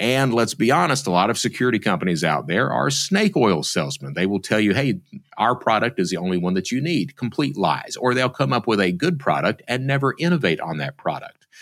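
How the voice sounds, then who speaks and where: Using an Appalachian accent, a man talks at a medium pitch with vocal fry and very wide pitch swings. He moves at a fairly quick pace with hardly any pauses. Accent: Appalachian US Southern. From Eastern Kentucky. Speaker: former cybercriminal turned security speaker. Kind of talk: interview.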